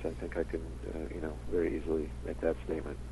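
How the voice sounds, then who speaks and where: This man speaks at a very fast pace. His voice has vocal fry. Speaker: TV director. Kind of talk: casual phone interview. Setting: phone call. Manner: hesitant, filler-heavy.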